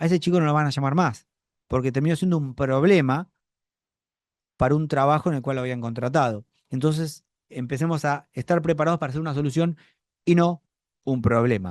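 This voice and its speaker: In a dry, close sound with no echo and a quiet background, a fairly high-pitched man talks at a fairly quick pace with ordinary pitch variation and long, frequent pauses. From Buenos Aires, Argentina. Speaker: acting teacher. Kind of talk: online acting class.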